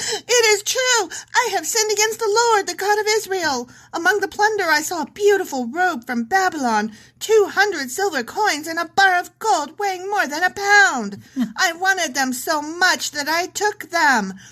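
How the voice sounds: A woman does a put-on character voice, squeaky and at an extremely high pitch. She moves at a moderate pace with very wide pitch swings.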